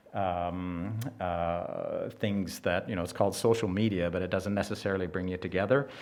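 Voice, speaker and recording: Here a man with a Western Canadian accent has a very deep, low pitch and fairly even intonation. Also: moderate pace. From Canada, British Columbia interior (Nicola Valley ranch). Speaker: event speaker, rancher's son. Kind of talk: public speech at exhibition opening. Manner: halting, many fillers.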